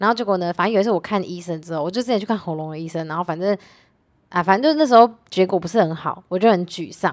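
The speech moves very fast with ordinary pitch variation and big swings in loudness. The recording is very clean, with a silent background. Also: woman, medium pitch for a woman. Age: 20s. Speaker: tutor and YouTuber. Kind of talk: casual chat.

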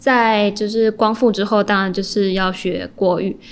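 Using an unremarkable speaking voice, a woman talks at a fairly high pitch and a fairly slow pace. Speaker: journalism student. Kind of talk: interview.

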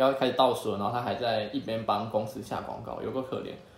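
A man against noticeable background noise. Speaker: podcast host. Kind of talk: casual chat. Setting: at guests' home.

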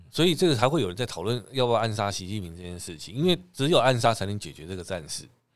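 On a very clean recording with a silent background, a man talks at a very fast pace with vocal fry and very wide pitch swings. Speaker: podcast co-host. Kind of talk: casual chat.

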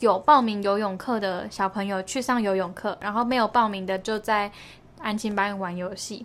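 A fairly high-pitched woman at a moderate pace, with ordinary pitch variation. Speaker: podcast co-host. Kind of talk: casual chat.

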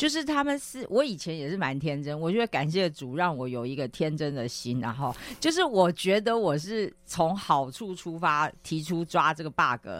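Hardly any pauses at a moderate pace, in a very clean recording with a silent background. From Taiwan. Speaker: business magazine editor. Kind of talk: radio interview. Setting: radio studio. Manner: animated.

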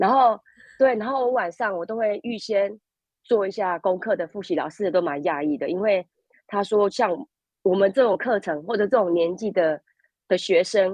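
A woman speaks in a plain, everyday voice at a moderate pace and medium pitch with ordinary pitch variation. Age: 50s. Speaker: language school student. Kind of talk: interview.

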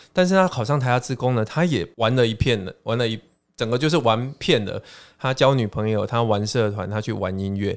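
With a plain, everyday voice, a man of medium pitch speaks at a fairly quick pace using lively intonation. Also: very clean recording, silent background. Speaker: education professor and author. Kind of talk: casual interview chat.

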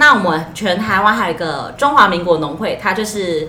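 A woman speaks at a fairly low pitch and moderate pace. Audible room echo and noticeable background noise fill the recording. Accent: slight Taiwanese. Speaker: farmers' association employee and podcast co-host. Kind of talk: casual chat.

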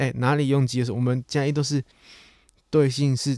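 A man with a Taiwanese accent speaks at a fairly quick pace in a dark, mellow tone, recorded very cleanly against a silent background. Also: dry, close sound with no echo. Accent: Taiwanese Mandarin. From Taiwan, Chiayi. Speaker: podcast host. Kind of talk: casual monologue.

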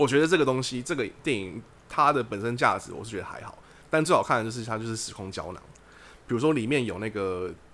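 Talking at a very fast pace, a man uses lively intonation with big swings in loudness. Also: medium pitch for a man. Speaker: podcast host. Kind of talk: casual chat.

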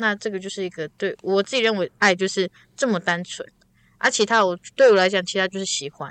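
An animated woman's voice at medium pitch and fairly quick pace, dry and close with no echo. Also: ordinary pitch variation, quiet background. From Taiwan, Taitung. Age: 20s. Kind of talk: casual chat. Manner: animated, laughing.

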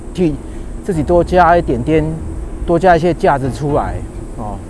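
Noticeable background noise surrounds a man whose voice sits at a high pitch. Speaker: podcast host, engineer. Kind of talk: casual monologue while walking. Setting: outdoors, walking on bike path. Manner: halting, many fillers.

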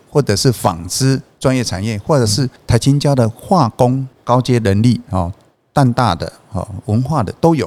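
Lively intonation marks this man's unremarkable speaking voice. He speaks at a fairly slow pace and a medium pitch. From Taiwan, Changhua (Hemei). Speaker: textile company chairman. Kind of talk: interview conversation.

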